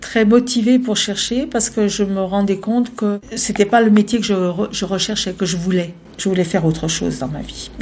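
This woman has an unremarkable speaking voice at a medium pitch. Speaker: former activist. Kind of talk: interview testimony.

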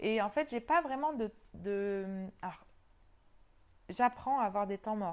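A woman speaks at a very slow pace with long, frequent pauses. Her pitch is fairly high and her intonation lively. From New Caledonia, raised sailing around the world. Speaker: yoga teacher and journalist. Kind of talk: interview.

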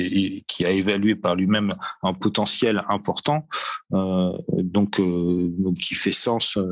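A man's fairly low voice at a very slow pace, with fairly even intonation over a quiet background. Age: 40s. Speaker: marketing manager at a spirits distributor. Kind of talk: interview. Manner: halting, many fillers and repetitions.

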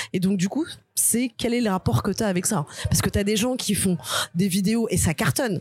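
A woman with a medium-pitched, somewhat breathy voice speaks in an animated tone at a moderate pace, with lively intonation. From Algerian and Guadeloupean heritage, France. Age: 30s. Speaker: stand-up comedian. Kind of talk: casual chat.

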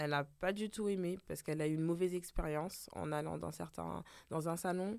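A woman speaks with a very deep, low pitch and ordinary pitch variation at a fairly quick pace. The recording is very clean, with a silent background. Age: 30s. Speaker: hairdresser. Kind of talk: casual chat. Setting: studio.

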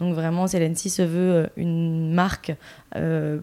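A woman's fairly low voice carries a dark, mellow tone and monotone, flat intonation. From Bordeaux, France. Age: 30s. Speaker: entrepreneur, brand co-founder. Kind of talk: podcast interview.

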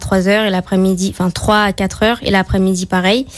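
The woman's voice sits at a middle pitch. She speaks in a flat monotone. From Martinique. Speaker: gymnast. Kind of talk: radio interview. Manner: hesitant.

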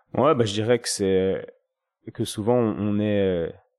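This man has a fairly low voice with a dark, mellow tone, captured in a very clean recording against a silent background. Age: 30s. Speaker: osteopath and podcaster. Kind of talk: casual interview.

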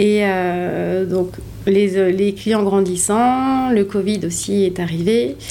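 Against noticeable background noise and audible room echo, a woman speaks very slowly at medium pitch with very even loudness. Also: ordinary pitch variation. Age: 30s. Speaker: hotel operations director. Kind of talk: interview. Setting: on location at the hotel.

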